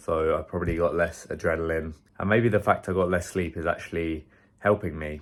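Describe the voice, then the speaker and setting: In a British accent, a man speaks at a fairly quick pace. His very deep, low voice keeps a fairly even intonation. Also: very clean recording, silent background. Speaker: fitness coach. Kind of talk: vlog.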